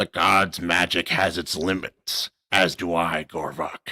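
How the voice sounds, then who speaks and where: A man puts on a character voice that is very deep, low, raspy and guttural. He speaks at a fairly slow pace with monotone, flat intonation. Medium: read story.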